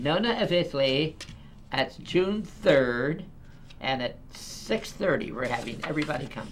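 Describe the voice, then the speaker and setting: Noticeable background noise behind a man's fairly high, lively voice at a fairly slow pace. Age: 80s+. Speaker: TV talk show host. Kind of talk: casual interview chat.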